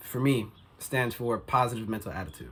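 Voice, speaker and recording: Speaking at a moderate pace, a man talks at a medium pitch. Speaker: motivational vlogger. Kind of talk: casual motivational vlog monologue. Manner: casual, filler-heavy.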